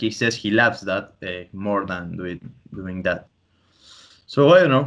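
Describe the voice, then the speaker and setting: Against a quiet background, a man with a Spanish accent talks at a moderate pace with ordinary pitch variation. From Argentina (Tandil, Buenos Aires province). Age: 20s. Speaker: podcast host, comic artist and student. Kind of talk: casual chat. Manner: halting.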